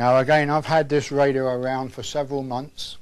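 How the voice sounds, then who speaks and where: A man speaks with a British accent. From England. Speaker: earthquake survival instructor. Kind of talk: instructional presentation. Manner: homespun, conversational. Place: studio.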